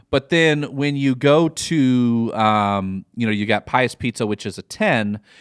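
A man's medium-pitched voice with a Midwestern accent, very slow pace and ordinary pitch variation, dry and close with no echo, on a very clean recording with a silent background. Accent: Midwest American. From US Midwest. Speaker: podcast host. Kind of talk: casual chat, comedic banter.

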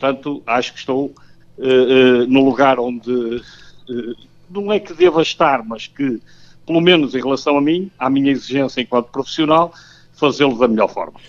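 A man's medium-pitched speech moves at a moderate pace with ordinary pitch variation. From Portugal, Porto. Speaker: football coach. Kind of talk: radio interview. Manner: halting.

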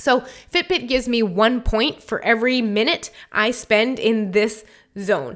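With an unremarkable speaking voice, a woman talks at a fairly high pitch using ordinary pitch variation. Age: 30s. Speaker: podcast host and health coach. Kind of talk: solo educational podcast. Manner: casual, conversational with fillers.

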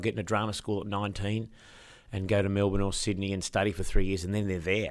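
Talking at a very fast pace, a man with an Australian accent comes through on a very clean recording with a silent background. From Tasmania, Eastern Shore (Hobart). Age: 50s. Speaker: actor and musical performer. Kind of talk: interview. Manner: halting, many fillers.

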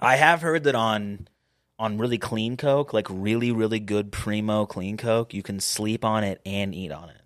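A man with a plain, everyday voice talks at a moderate pace, his pitch fairly low with ordinary variation and big swings in loudness. The recording is very clean, with a silent background. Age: 20s. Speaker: podcast host. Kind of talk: casual chat.

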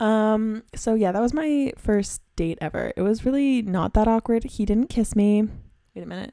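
Woman with a Canadian accent, dark, mellow tone and fairly high pitch, moderate pace and ordinary pitch variation, in a very clean recording with a silent background. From Canada. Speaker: podcast host. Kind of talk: casual solo monologue.

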